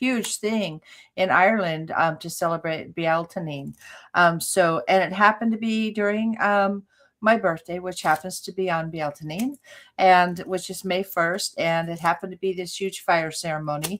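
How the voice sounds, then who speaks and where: A woman's unremarkable speaking voice, medium in pitch with ordinary pitch variation, at a moderate pace. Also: very clean recording, silent background. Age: 60s. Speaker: psychic medium and healer. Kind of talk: casual interview chat.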